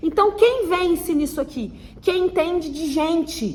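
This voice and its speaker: Amid noticeable background noise and audible room echo, a woman speaks at a fairly slow pace with ordinary pitch variation. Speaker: marketing teacher. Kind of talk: online lecture. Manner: hesitant fillers.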